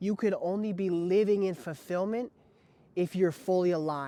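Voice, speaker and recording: An American accent from a man, moderate pace, ordinary pitch variation, and a dry, close sound with no echo. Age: 20s. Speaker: fitness and life coach. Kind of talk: personal story monologue to camera.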